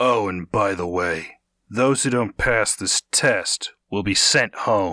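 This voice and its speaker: A put-on character voice from a man, raspy and fairly low, at a fairly slow pace, with dry, close sound with no echo on a very clean recording with a silent background. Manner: curt, deadpan.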